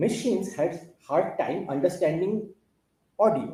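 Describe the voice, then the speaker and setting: A man's high-pitched voice with a dark, mellow tone and an Indian accent. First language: Bengali. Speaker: conference speaker. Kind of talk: technical talk. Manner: halting.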